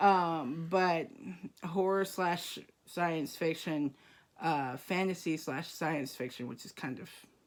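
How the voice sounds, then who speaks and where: Speaking at a very slow pace, a woman with a fairly low pitch shows ordinary pitch variation and big swings in loudness, recorded very cleanly over a silent background. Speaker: booktube co-host. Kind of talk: casual chat. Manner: halting.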